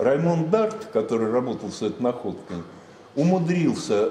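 Over light background noise, a man's voice swings very widely in pitch, with audible room echo. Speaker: lecturer. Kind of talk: lecture. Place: classroom. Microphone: camera far.

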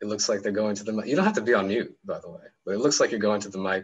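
A man at a fairly low pitch, talking at a very fast pace. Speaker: academic discussion moderator; discussion facilitator. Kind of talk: group discussion. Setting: video call. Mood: warm, encouraging. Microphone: video call.

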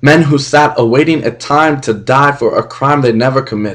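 A man's fairly high voice at a moderate pace, ordinary pitch variation, quiet background. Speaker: spoken word poet. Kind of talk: spoken word poetry performance. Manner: impassioned. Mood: angry, impassioned. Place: home room. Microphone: webcam.

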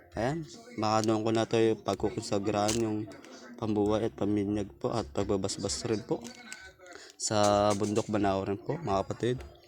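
Noticeable background noise sits behind a man with fairly low pitch. He speaks at a moderate pace with ordinary pitch variation and very even loudness. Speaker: YouTuber on spiritual practices. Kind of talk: casual vlog. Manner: halting.

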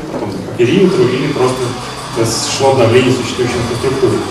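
A man is speaking in a room with audible echo. Noticeable background noise is present. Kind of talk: presentation talk. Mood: friendly, smiling. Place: hall.

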